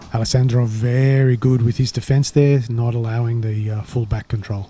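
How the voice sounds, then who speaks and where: A somewhat breathy man's voice, medium in pitch and dark and mellow in tone, at a moderate pace. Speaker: sports commentator. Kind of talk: live commentary. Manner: casual, animated.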